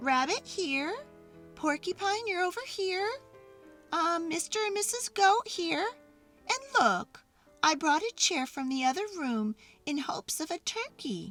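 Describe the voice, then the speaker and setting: In a squeaky put-on character voice, a female-sounding speaker goes extremely high in pitch at a moderate pace. Long, frequent pauses come up often, with faint music in the background. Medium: read story.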